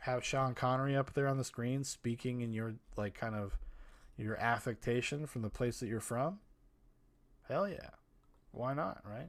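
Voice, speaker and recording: In a very clean recording with a silent background, a man at a medium pitch speaks at a moderate pace with ordinary pitch variation and long, frequent pauses. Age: 30s. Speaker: podcast host. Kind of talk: solo movie podcast monologue. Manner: casual, rambling with filler words.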